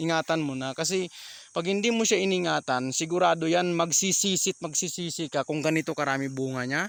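A man talks at a fairly quick pace with a fairly high pitch and ordinary pitch variation. The sound is dry and close, with no echo. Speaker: small vegetable farmer and vlogger. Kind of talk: casual farm vlog tutorial. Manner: halting, many fillers.

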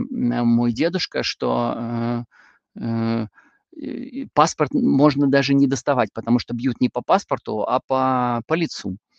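A man speaks at a very slow pace. The sound is dry with no echo, over a quiet background. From northwestern Russia. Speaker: Bible teacher. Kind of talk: lecture. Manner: hesitant with frequent filler sounds. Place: home room. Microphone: video call.

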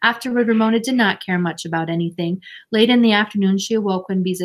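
Ordinary pitch variation in a natural voice reading out loud

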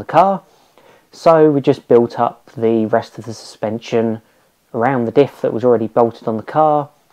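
A man's dark, mellow tone at a moderate pace, with ordinary pitch variation over a quiet background. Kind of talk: casual explanatory vlog chat. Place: garage.

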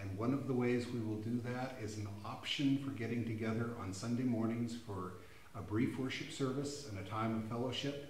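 With fairly even intonation and a moderate pace, a man speaks amid audible room echo and light background noise. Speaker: pastor. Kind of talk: church announcement and sermon. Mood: warm, reassuring. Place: church.

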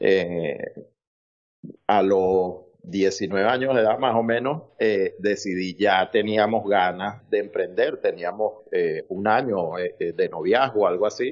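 At a very slow pace and with very even loudness, a man speaks. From Venezuela. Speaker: entrepreneur, construction business owner. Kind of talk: interview.

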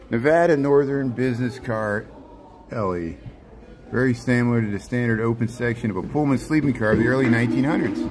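Noticeable background noise sits under this recording. A man talks at a fairly quick pace with ordinary pitch variation. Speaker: live streamer touring museum. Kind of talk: casual vlog chat. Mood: enthusiastic, amazed. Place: train. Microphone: phone near.

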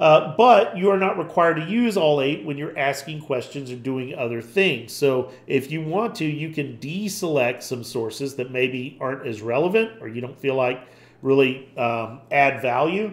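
Using a plain, everyday voice, a man speaks at a moderate pace and fairly high pitch with lively intonation and hardly any pauses. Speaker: tutorial presenter. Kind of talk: tutorial. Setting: screen recording. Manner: casual, informal.

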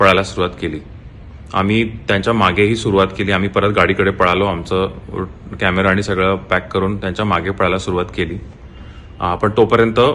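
A man's very deep, low voice holds a monotone, flat intonation. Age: 20s. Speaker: photographer, theft victim. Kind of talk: video statement. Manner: halting.

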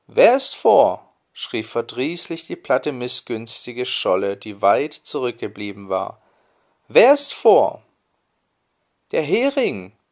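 Against a silent background in a very clean recording, a man speaks at a very slow pace. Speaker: storyteller. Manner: calm, soothing, measured storytelling pace.

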